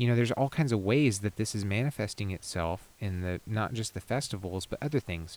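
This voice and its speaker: In a very clean, dry, close recording with no echo and a silent background, a man with an unremarkable speaking voice talks at a fairly quick pace with hardly any pauses, fairly low pitch and ordinary pitch variation. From Texas (Houston). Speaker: life coach and festival organizer. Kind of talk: casual chat. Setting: outdoors.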